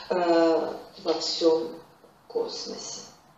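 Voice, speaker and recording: A woman speaks with audible room echo. Light background noise is present. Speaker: interpreter. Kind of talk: interpreting. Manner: halting. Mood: calm, reflective. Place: classroom.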